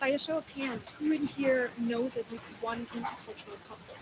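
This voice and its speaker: A woman with a high pitch speaks in fairly even intonation over noticeable background noise. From Austria. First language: Austrian German. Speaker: linguistics researcher. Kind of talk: talk to an audience.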